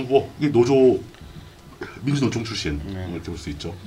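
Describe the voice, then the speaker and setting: Very wide swings mark a man's pitch. His pace is moderate. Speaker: live stream host. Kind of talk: casual live political talk show. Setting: live stream broadcast with chat.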